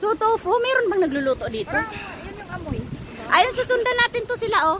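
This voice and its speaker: Noticeable background noise surrounds a woman who speaks fairly quickly at an extremely high pitch with lively intonation. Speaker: vlogger. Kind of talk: casual vlog chat while hiking. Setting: outdoors on a mountain trail. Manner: loud.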